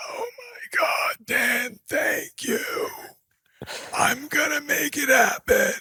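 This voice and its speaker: Someone uses a put-on character voice at an extremely high pitch. The delivery is very slow. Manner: earnest, thankful.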